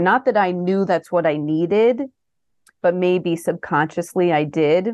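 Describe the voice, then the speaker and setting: A woman speaks with a fairly low pitch and ordinary pitch variation. The background is quiet. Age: 40s. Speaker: pediatric nurse and health coach. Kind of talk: casual interview.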